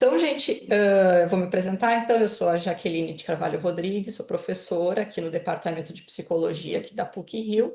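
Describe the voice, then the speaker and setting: This woman's voice has ordinary pitch variation and big swings in loudness. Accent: southern Brazilian. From southern Brazil (Rio Grande do Sul). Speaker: psychology professor. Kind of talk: lecture.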